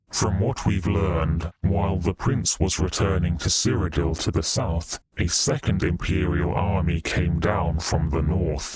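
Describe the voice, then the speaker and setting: Hardly pausing, a man speaks at a moderate pace. He uses a put-on character voice with a very deep, low pitch. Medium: read story.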